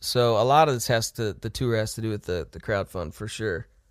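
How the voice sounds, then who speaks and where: A man with an American accent talks at a fairly quick pace in an unremarkable speaking voice with ordinary pitch variation. The recording is very clean, with a silent background. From US Midwest. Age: 20s. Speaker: rock band musician. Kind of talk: casual interview chat.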